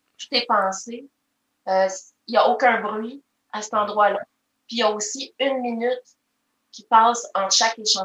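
A woman's fairly high voice with a Quebec accent, monotone, flat intonation, a moderate pace and long, frequent pauses. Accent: Québécois French. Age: 40s. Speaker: maple syrup taster. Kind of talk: casual interview.

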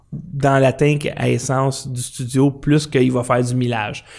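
A man with a fairly high, somewhat breathy voice speaks at a very slow pace. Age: 50s. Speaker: podcast host. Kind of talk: casual chat. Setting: studio. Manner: soft-spoken.

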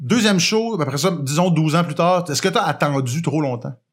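A man with a fairly high pitch, a plain, everyday voice and ordinary pitch variation. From Quebec, Montreal. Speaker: podcast host. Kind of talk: casual chat.

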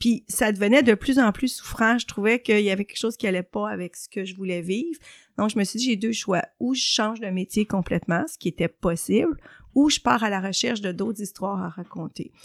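In an unremarkable speaking voice, a woman talks at a fairly quick pace with medium pitch, ordinary pitch variation and big swings in loudness, in a very clean recording with a silent background and a dry, close sound with no echo. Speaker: journalist and columnist. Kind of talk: interview.

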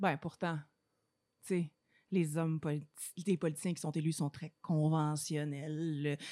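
Very deep and low in pitch, a woman speaks with a Quebec accent at a moderate pace. Her intonation stays fairly even on a very clean recording with a silent background. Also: dry, close sound with no echo. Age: 30s. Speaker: podcast host. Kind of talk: casual chat.

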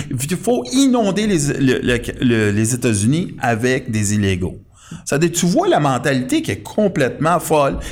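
A man with a Quebec accent speaks at a fairly slow pace. His fairly high pitch swings very widely. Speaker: political commentator. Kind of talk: casual political talk show. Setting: studio.

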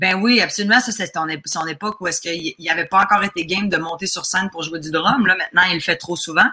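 The speech runs at a very fast pace with ordinary pitch variation. Noticeable background noise is present. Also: woman, medium pitch for a woman. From Quebec, Lac-Saint-Jean. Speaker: comedian. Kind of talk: casual chat.

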